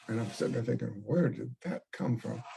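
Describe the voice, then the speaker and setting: Speaking at a medium pitch, a man has a dark, mellow tone with vocal fry. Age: 80s+. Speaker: retired priest and pastor. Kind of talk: oral history interview. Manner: halting, repeated words.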